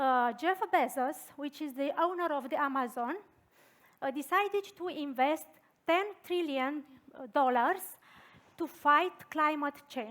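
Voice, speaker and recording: Very slowly and with a Romanian accent, a woman speaks in a bright, sharp tone at a high pitch with ordinary pitch variation. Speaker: design thinking consultant and researcher. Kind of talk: conference talk. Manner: halting.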